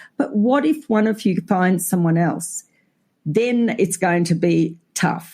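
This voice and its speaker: Speaking very slowly in an Australian accent, this voice has a dark, mellow, somewhat breathy tone. The intonation is lively and the loudness very even. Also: woman, medium pitch for a woman. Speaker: family lawyer. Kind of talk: casual chat.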